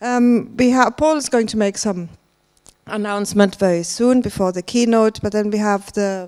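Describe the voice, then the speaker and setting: A medium-pitched woman at a moderate pace, her intonation fairly even. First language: German. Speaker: conference organiser. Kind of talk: conference welcome remarks. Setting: stage with audience. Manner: hesitant, many fillers.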